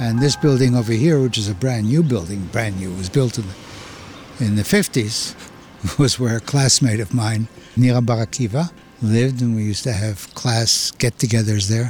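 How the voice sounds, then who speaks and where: A man speaks at a medium pitch and a moderate pace, with ordinary pitch variation and noticeable background noise. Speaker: host's father, former soldier. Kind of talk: casual chat. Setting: outdoors walking on a street.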